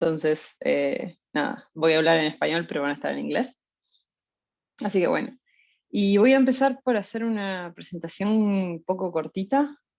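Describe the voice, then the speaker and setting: A woman with a medium pitch talks at a moderate pace with lively intonation. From Uruguay, Montevideo. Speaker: researcher. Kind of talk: lecture. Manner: hesitant, many fillers.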